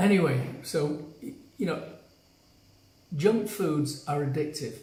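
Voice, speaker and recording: A man with a British accent speaks in a fairly high pitch with ordinary pitch variation and long, frequent pauses, with audible room echo. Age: 70s. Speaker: health coach. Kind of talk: live stream talk to viewers. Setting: on vacation, not in usual place.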